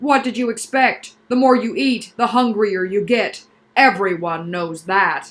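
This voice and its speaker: Growling in a put-on character voice, a woman talks at a fairly slow pace with a fairly high pitch. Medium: read story. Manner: brisk, impatient.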